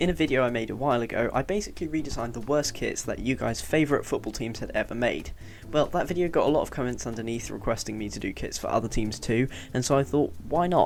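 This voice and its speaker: Mumbling at a very fast pace, the speaker has vocal fry and lively intonation. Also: man, medium pitch for a man. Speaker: YouTuber making football kit designs. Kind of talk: screen-recorded tutorial narration.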